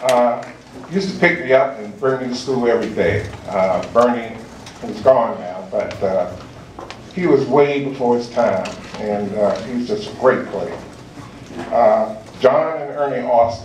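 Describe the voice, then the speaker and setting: With audible room echo and noticeable background noise, a man with an American accent speaks at a medium pitch and fairly slow pace, using lively intonation, big swings in loudness and long, frequent pauses. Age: 60s. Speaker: hall of fame inductee. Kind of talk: acceptance speech. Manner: halting, many fillers.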